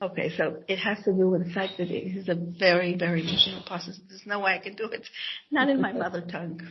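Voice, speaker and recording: With noticeable background noise behind her, a woman talks at a very fast pace in a medium pitch, her loudness swinging widely. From Israel (Jerusalem). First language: Hebrew. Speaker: author and scholar. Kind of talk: interview. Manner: halting, many false starts.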